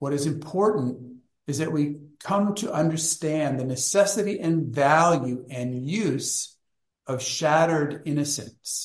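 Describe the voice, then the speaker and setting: A man talks fairly slowly in a fairly high, somewhat breathy voice, with ordinary pitch variation. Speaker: study group leader and book author. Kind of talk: online study group discussion. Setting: video call.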